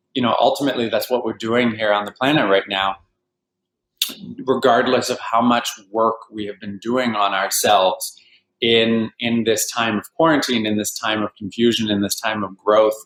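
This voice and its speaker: A plain, everyday voice with a Canadian accent, fairly even intonation, and a moderate pace. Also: man, medium pitch for a man. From Vancouver, Canada. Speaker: healer and life coach. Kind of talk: interview.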